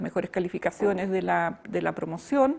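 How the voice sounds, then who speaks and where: A woman talks in a very clean recording with total silence behind her. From Chile, Temuco. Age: 70s. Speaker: retired university teacher. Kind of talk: oral history interview. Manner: hesitant, frequent fillers.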